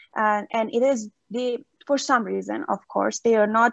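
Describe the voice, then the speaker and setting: A woman with a Persian accent talks at a moderate pace and a fairly high pitch. The sound is dry and close, with no echo. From Iran. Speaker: seminar audience member. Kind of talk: Q&A discussion.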